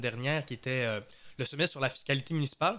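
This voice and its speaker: A man with a fairly high pitch speaks at a fairly quick pace, showing ordinary pitch variation and an unremarkable speaking voice. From Quebec, Saguenay. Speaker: podcast host. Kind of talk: casual podcast chat.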